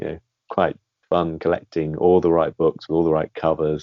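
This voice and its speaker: He has a British accent. The man talks at a fairly quick pace. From Britain. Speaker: guest, film series fan. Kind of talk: interview.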